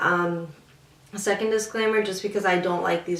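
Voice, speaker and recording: Both noticeable background noise and audible room echo are present in the clip. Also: woman. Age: 20s. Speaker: beauty vlogger. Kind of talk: casual chat. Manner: hesitant with many fillers.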